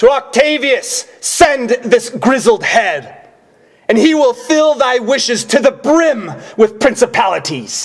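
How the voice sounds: This man puts on a character voice pitched extremely high. He speaks slowly, with big swings in pitch.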